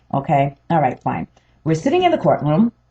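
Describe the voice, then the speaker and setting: A somewhat breathy woman's voice at a very deep, low pitch. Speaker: homeowner vlogger. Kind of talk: personal testimony. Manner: hesitant, many fillers.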